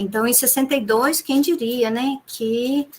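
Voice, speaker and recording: Somewhat breathy, a woman's voice comes through. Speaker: lecturer in teacher education. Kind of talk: online conference talk.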